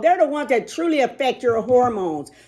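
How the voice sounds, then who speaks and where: A woman's high, animated voice with very wide pitch swings, on a very clean recording with a silent background. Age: 60s. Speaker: fitness and wellness vlogger. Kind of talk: casual chat.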